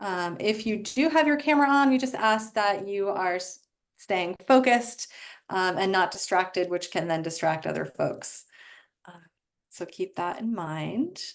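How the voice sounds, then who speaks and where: Using an ordinary speaking voice, a woman at medium pitch speaks at a fairly slow pace with lively intonation and big swings in loudness. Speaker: webinar host. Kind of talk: webinar moderation.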